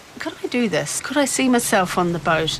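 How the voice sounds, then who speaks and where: There is noticeable background noise as a woman speaks with a New Zealand accent. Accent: non-Irish accent, New Zealand. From New Zealand, Dunedin. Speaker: occupational therapist and boat owner. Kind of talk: interview. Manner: casual, with frequent fillers.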